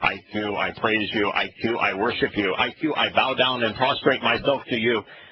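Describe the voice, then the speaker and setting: A man performs a robotic, put-on character voice. He speaks at a moderate pace and medium pitch. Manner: monotone, worshipful.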